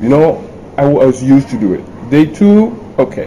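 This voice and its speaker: In a French accent, a man talks in a fairly high pitch. Noticeable background noise is heard behind him. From France, Paris. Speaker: entrepreneur and author. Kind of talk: interview.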